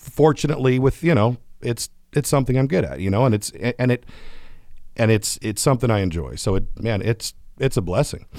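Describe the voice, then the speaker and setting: With an American accent and vocal fry, a medium-pitched man talks at a fairly quick pace while taking long, frequent pauses. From California, Atwater. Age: 30s. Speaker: recovering addict and fishing mentor. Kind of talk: interview testimony.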